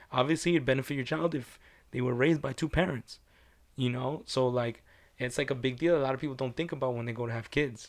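Speaking very fast with a non-native accent, a man shows ordinary pitch variation. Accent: foreign-accented English. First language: not English. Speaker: podcast co-host. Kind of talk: casual chat.

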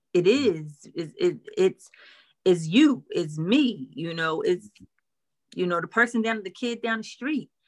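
With long, frequent pauses, a woman speaks fairly slowly at a medium pitch, her voice swinging very widely in pitch. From Philadelphia, North Philly. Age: 40s. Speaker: counselor. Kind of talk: casual interview.

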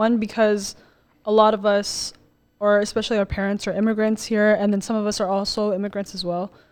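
Her voice an ordinary speaking voice, a woman with an American accent talks at a fairly quick pace, with medium pitch and fairly even intonation. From Colorado, US. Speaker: podcast guest. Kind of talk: casual chat.

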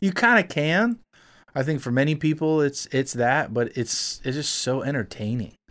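Over a silent background in a very clean recording, a man with an unremarkable speaking voice and fairly high pitch speaks at a moderate pace with lively intonation. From South Florida, Miami. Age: 30s. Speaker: music producer and musician. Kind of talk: casual chat.

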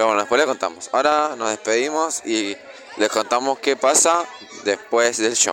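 Over music in the background, a man talks at a moderate pace and medium pitch, holding his loudness very even. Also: lively intonation. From Argentina. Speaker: podcast co-host. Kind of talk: casual chat.

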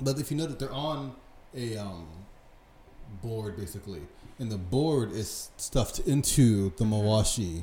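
A man with a dark, mellow tone and medium pitch, somewhat breathy, with lively intonation, a moderate pace and long, frequent pauses. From United States. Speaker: sumo podcast co-host. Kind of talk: casual chat.

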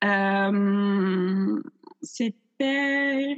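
A woman speaks with ordinary pitch variation. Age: 20s. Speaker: theatre student and director. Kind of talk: casual interview. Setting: video call.

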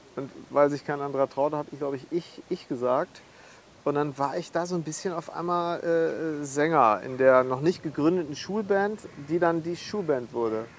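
A man's unremarkable speaking voice, fairly high in pitch, with ordinary pitch variation at a moderate pace. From Münster area, Westphalia, partly Schleswig-Holstein. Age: 30s. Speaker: musician. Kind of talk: casual chat. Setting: outdoors.

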